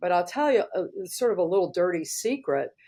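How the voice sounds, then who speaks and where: In a normal speaking voice, a woman talks with an American accent and a fairly low pitch. The recording is very clean with a silent background. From US South, Georgia. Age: 60s. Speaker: hairstylist and educator. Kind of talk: interview. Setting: podcast.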